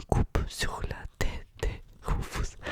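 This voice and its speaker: A woman whispers very slowly as noticeable background noise carries on around her. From Russia. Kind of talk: ASMR book reading. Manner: whispered, soft.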